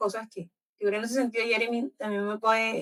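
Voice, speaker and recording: Fairly quick and fairly high, a woman's voice carries her words along. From Colombian Caribbean coast. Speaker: book club host. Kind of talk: book club discussion. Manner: animated.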